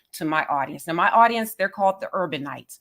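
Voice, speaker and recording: A woman at medium pitch with a Southern US accent and very wide pitch swings, on a very clean recording with a silent background. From US South. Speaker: interviewer. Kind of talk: interview.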